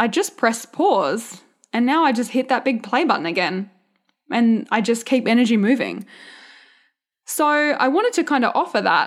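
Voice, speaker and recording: A woman with a rural Australian accent speaks at a moderate pace in a high pitch, her animated, upbeat tone carried by lively intonation and very even loudness on a very clean recording with a silent background. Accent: Australian, country. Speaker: podcast host, mindset and business coach. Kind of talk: solo podcast monologue, casual pep talk. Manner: animated, chatty, upbeat.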